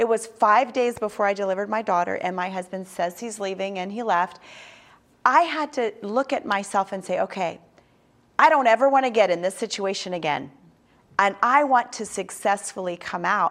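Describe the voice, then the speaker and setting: A woman at a moderate pace, animated in tone, with lively intonation. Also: medium pitch for a woman. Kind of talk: sermon-style teaching. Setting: studio.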